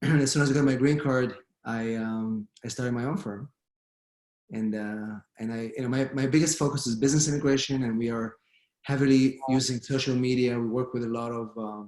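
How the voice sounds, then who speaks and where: Speaking with an Israeli accent, a man talks at a fairly quick pace in a medium pitch, his intonation fairly even. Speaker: immigration lawyer. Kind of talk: panel discussion.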